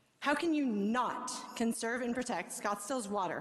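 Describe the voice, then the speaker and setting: A woman talks at a moderate speed with ordinary pitch variation, and the room adds audible echo. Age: 40s. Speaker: resident speaking at city council. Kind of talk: public comment speech. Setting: city council meeting.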